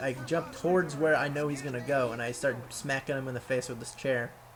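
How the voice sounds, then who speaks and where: A man's voice over noticeable background noise. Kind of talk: gameplay commentary. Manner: casual, profane.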